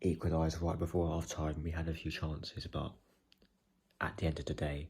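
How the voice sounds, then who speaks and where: A man speaks quietly at a moderate pace, his very deep voice dark, mellow and somewhat breathy. His delivery is a flat monotone, and the recording is very clean with a silent background. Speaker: football fan vlogger. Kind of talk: casual video commentary. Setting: at home, late evening. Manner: quiet, hushed.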